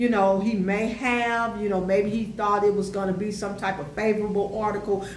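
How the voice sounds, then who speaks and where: A woman speaks at a medium pitch. Her recording has audible room echo and noticeable background noise. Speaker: YouTube educator on African history. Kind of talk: casual commentary monologue. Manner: animated, many fillers.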